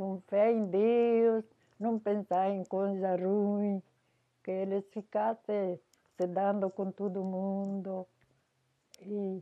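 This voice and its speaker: A woman speaks at a very slow pace with monotone, flat intonation. Long, frequent pauses break up her speech. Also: medium pitch for a woman. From southern Brazil, Garibaldi (Rio Grande do Sul, Italian colony area). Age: 80s+. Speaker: elderly local resident interviewed for history. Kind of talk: oral history interview. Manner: halting.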